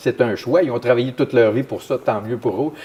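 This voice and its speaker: Amid noticeable background noise, a man speaks at a medium pitch and a very fast pace with ordinary pitch variation. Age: 60s. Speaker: municipal councillor. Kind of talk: interview.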